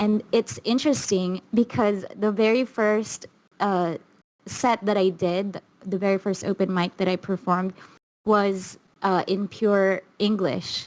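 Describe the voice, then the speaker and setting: A woman's medium-pitched voice with a Filipino accent, a fairly slow pace, very even loudness and fairly even intonation. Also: dry, close sound with no echo. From Philippines. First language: Filipino language. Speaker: stand-up comedian. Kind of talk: casual interview chat. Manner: halting, with repeated words.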